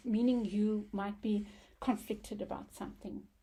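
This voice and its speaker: A woman speaks in a medium pitch with a dark, mellow tone and vocal fry. Her pace is moderate, her intonation monotone and flat. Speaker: tarot card reader. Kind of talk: tarot reading monologue. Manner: halting, with many fillers.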